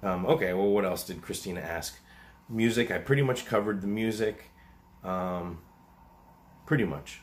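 A man with a fairly low pitch speaks at a moderate pace, using ordinary pitch variation and long, frequent pauses. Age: 40s. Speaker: animal rescuer and YouTuber; YouTuber. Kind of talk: casual Q&A monologue. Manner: hesitant, many fillers. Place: home room. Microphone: webcam.

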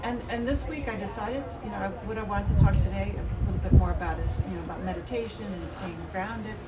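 Loud background noise accompanies a woman speaking at a fairly quick pace. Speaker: video podcast co-host. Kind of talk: casual chat. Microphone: camera far.

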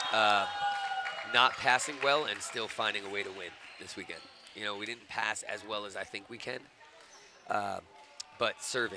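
A man at a fairly quick pace, with fairly even intonation, big swings in loudness, long, frequent pauses and noticeable background noise. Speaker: volleyball coach, guest commentator. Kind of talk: casual analysis commentary. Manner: relaxed, conversational, hesitant with fillers.

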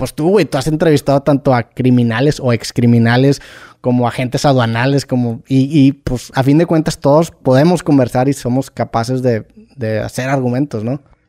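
In a dry, close recording with no echo, a man with a medium pitch and a dark, mellow tone speaks at a moderate pace with fairly even intonation. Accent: Mexican. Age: 30s. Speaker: podcaster. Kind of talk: casual chat.

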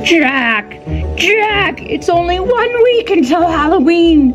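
A put-on character voice at an extremely high pitch speaks at a very slow pace over clear music in the background. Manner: excited, announcing.

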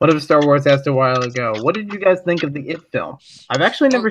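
Noticeable background noise sits behind a man whose fairly high voice has lively intonation. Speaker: Lego YouTuber; guest. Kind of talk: casual chat. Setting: online group call stream. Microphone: video call.

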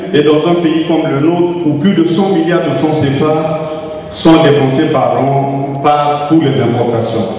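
Strong room echo surrounds a man speaking at a fairly slow pace. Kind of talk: formal speech. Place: hall.

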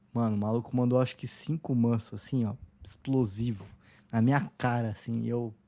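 Keeping a moderate pace, a man speaks in fairly even intonation. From Foz do Iguaçu, Paraná, Brazil; Paraná, Brazil. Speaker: calisthenics coach. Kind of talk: casual interview. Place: home room. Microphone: studio mic.

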